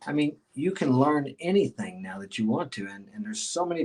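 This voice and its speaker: Very wide pitch swings at a moderate pace. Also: man. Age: 60s. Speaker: motivational podcaster. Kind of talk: interview.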